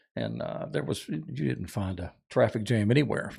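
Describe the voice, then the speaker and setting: In a very clean recording with a silent background, a man with a North Florida accent speaks at a moderate pace, his fairly low voice showing vocal fry. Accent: Southern US (North Florida). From North Florida, Jacksonville. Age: 60s. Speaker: outdoorsman and tournament angler. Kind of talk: casual chat.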